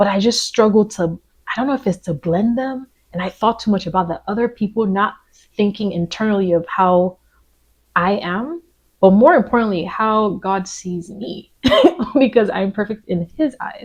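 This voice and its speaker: Her voice is somewhat breathy and medium in pitch for a woman. She keeps a moderate pace with ordinary pitch variation. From Nigerian American. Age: 30s. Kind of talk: personal reflective talk to camera.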